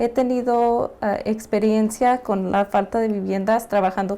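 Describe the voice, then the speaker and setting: Her tone is dark and mellow, and this woman keeps her intonation fairly even. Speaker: homelessness nonprofit worker. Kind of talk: class presentation. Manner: halting.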